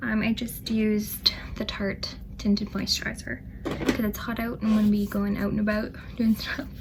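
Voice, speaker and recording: Noticeable background noise surrounds a woman speaking at a moderate pace. Her fairly high voice has monotone, flat intonation. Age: 20s. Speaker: beauty vlogger. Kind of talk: makeup tutorial talk to camera. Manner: casual, chatty.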